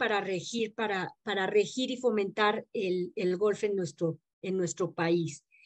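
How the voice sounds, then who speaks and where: In a quiet setting, a woman is speaking. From Mexico City. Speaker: golf federation rules director; guest. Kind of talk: interview in an online class. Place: home room. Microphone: video call.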